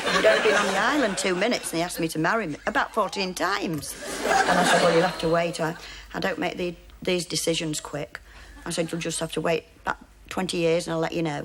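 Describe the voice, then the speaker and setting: Very fast speech from a woman, fairly low in pitch with ordinary pitch variation, over noticeable background noise. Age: 50s. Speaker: dating show contestant. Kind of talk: recorded interview segment recounting a date.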